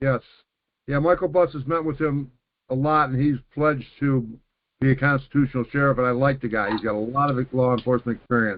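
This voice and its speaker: A man speaks in an ordinary speaking voice at medium pitch. His pace is fairly quick and his intonation fairly even. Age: 60s. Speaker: caller. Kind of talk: call-in question.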